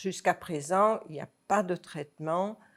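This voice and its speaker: A woman speaks very slowly at a fairly low pitch with ordinary pitch variation. The recording is very clean, with a silent background. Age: 70s. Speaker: retired schoolteacher with macular degeneration. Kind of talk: testimony. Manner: halting.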